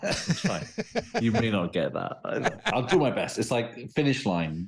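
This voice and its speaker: With a British accent, a man speaks at a fairly slow pace and medium pitch, making very wide pitch swings. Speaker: professor of criminology. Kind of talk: interview.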